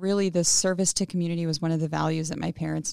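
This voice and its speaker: In a normal speaking voice with an American accent and fairly even intonation, the speaker comes through a very clean, dry, close recording with no echo and a silent background. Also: woman. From Pasco, eastern Washington, US. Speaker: state legislator. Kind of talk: interview conversation. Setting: makeshift studio.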